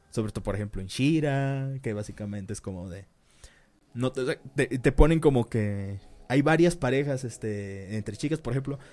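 On a very clean recording with a silent background, a man in a Mexican accent speaks at a medium pitch with ordinary pitch variation and big swings in loudness. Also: moderate pace. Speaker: podcast co-host. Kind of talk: casual chat. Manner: halting, stumbles over words.

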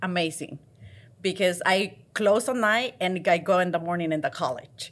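In a very clean recording with a silent background, a woman talks with a Mexican accent. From Mexico. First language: Spanish. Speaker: restaurant chain trainer. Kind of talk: interview.

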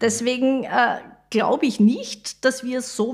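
A woman with an unremarkable speaking voice talks fairly slowly at a fairly high pitch, her pitch varying in an ordinary way. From Austria, Styria (Mariazell). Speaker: civil engineer, head of school building division. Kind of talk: podcast interview.

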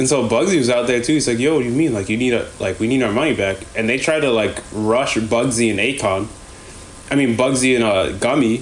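Against noticeable background noise, a man speaks at a fairly quick pace with medium pitch. His loudness stays very even, and his pitch varies in an ordinary way. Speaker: podcast host. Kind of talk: casual chat.

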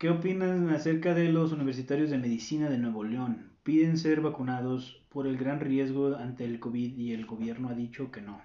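Speaking at a moderate pace, a man with a medium pitch and ordinary pitch variation has an unremarkable speaking voice. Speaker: podcast co-host. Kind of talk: casual chat.

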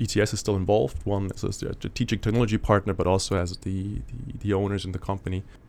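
A man talks at a very fast pace with hardly any pauses. His fairly low voice carries vocal fry and ordinary pitch variation. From Germany. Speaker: startup co-founder. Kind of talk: interview. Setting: studio. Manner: halting, many fillers and repetitions.

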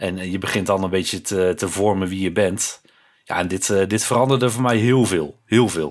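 A normal speaking voice keeps a moderate pace, its pitch varying in an ordinary way, on a very clean recording with a silent background. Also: man, fairly low pitch for a man. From Netherlands, Breda (North Brabant). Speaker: podcast co-host. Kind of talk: casual chat.

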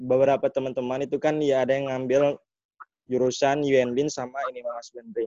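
Speaking fairly quickly in a flat monotone, a man at medium pitch is heard in a dry, close recording without echo. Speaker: student audience member. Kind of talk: audience question. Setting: online webinar.

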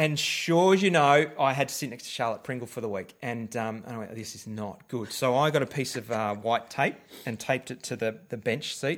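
A man with an Australian accent speaks at medium pitch and a fairly quick pace, with big swings in loudness, hardly any pauses and ordinary pitch variation. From Victoria, Australia. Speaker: podcast co-host. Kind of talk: casual chat.

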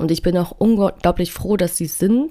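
The woman's pitch sits rather low, and her tone is dark and mellow. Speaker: podcast host. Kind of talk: personal monologue. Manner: halting, many fillers.

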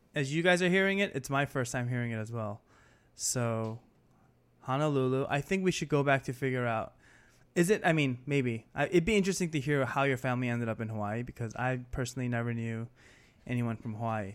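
A man's medium-pitched voice with an American accent and ordinary pitch variation, fairly quick, on a very clean recording with a silent background. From New York. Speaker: podcast co-host, photographer. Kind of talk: casual chat.

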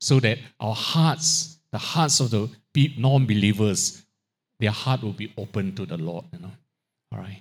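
A man's somewhat breathy, medium-pitched voice at a fairly slow pace, with lively intonation, big swings in loudness and long, frequent pauses, in a very clean recording with a silent background. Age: 60s. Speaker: guest preacher. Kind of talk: sermon. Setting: church.

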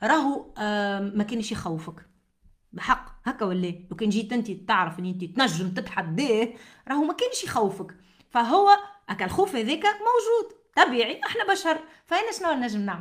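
At a moderate pace, a woman with a Tunisian accent speaks at a fairly high pitch with very wide pitch swings. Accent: Tunisian Arabic with French code-switching. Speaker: podcast host, motivational speaker and author. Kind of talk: motivational monologue.

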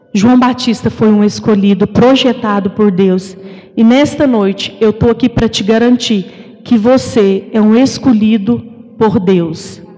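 Over noticeable background noise, a woman speaks at a fairly slow pace with very even loudness. Her pitch is fairly high, with ordinary variation. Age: 30s. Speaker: preacher. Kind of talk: sermon.

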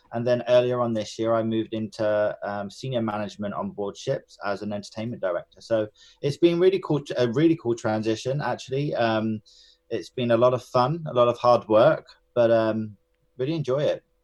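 Speaking fairly quickly with a London accent, a man uses a medium pitch and ordinary pitch variation. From North London, England. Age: 30s. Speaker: cruise ship entertainment director and former dancer. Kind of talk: interview. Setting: remote call.

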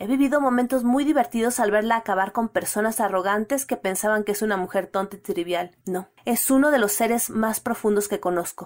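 With a Mexican accent, a woman talks at a fairly quick pace with hardly any pauses. Her pitch varies in an ordinary way. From Mexico City. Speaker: listener reading her own story. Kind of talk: reading aloud.

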